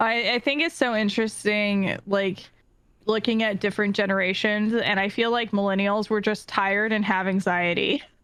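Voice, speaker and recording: Here is a normal speaking voice with an American accent, moving at a moderate pace with very even loudness and fairly even intonation. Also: woman, medium pitch for a woman. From California. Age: 30s. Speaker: streamer and community organizer. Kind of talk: casual chat.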